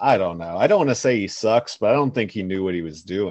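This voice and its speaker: This man's voice has a very deep, low pitch. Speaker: stand-up comedian, podcast guest. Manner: slow talker; says it is just how he talks.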